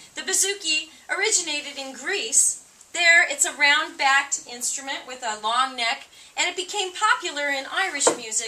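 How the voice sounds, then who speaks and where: A woman with a Californian accent speaks at a high pitch in a raised, projected voice. Audible room echo surrounds her. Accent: American (Californian). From US, San Diego, California. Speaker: folk musician. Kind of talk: live concert stage banter. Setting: stage with audience.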